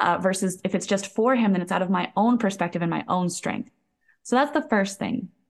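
Against a quiet background, a woman with an unremarkable speaking voice talks at medium pitch and a fairly quick pace, with ordinary pitch variation. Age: 30s. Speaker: holistic health coach. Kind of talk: interview conversation.

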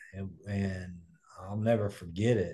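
Against a quiet background, a man with an American accent talks with fairly even intonation. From US Midwest (Kokomo, Indiana). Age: 40s. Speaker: recovering addict, motivational speaker. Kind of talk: interview, personal testimony.

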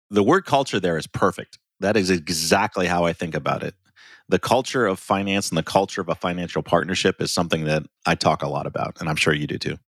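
With an American accent, a man talks at a very fast pace in a very deep, low voice, the sound dry and close with no echo. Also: ordinary pitch variation. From US Midwest, small-town Ohio. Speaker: finance executive and consultant. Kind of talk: interview.

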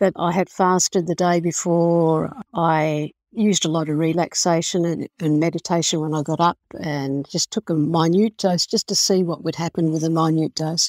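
Recorded very cleanly against a silent background, with a dry, close sound and no echo, a woman with an Australian accent speaks at a moderate pace in a fairly low pitch and a monotone, flat intonation. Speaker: indie author. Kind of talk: interview. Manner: halting.

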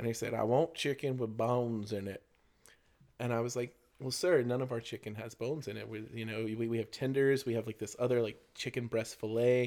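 A man speaks in an ordinary speaking voice at a medium pitch. His intonation stays fairly even. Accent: American. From Florida, US South. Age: 30s. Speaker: teacher. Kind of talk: casual chat.

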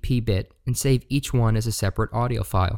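In a very clean recording with a silent background, a man speaks at a medium pitch with ordinary pitch variation. The sound is dry and close, with no echo. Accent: American. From West Virginia, Shepherdstown. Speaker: podcast host and paranormal investigator. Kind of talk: solo podcast monologue.

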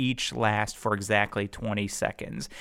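In a very clean recording with a silent background, a man speaks at a medium pitch and a fairly slow pace. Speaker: lawyer and community organizer. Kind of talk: casual chat. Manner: animated.

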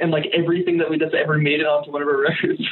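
Noticeable noise sits behind a voice that moves at a very fast clip. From Connecticut. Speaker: band member. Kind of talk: casual chat. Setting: phone call. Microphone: phone line, poor audio quality.

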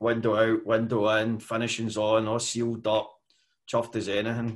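A man's monotone, flat delivery with a west of Scotland accent. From west coast of Scotland, mining community. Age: 50s. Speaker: construction management consultant. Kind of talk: interview.

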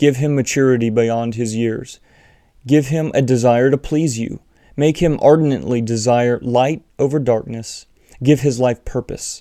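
A man talks fairly slowly at a medium pitch, his tone dark and mellow and his intonation fairly even. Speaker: church elder and teacher. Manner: pleading, penitent intensity in the prayer passages.

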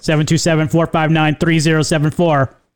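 Put-on character voice from a man, pitched fairly high

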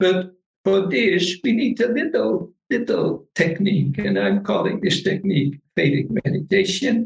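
With a Dutch accent, a man speaks in a high pitch at a fairly slow pace, barely pausing. His intonation is lively and his loudness very even. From northern Netherlands. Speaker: meditation teacher. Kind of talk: interview.

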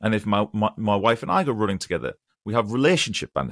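On a very clean recording with a silent background and a dry, close sound with no echo, a man at medium pitch talks very fast in an English accent with ordinary pitch variation. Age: 40s. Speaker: online piano teacher and choir leader. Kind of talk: casual interview chat.

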